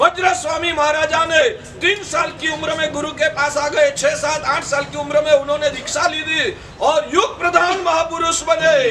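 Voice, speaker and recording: A man projects his voice loudly at an extremely high pitch with fairly even intonation. Noticeable background noise runs underneath. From Gujarat, India. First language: Gujarati (speaking Hindi). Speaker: Jain monk. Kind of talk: religious discourse.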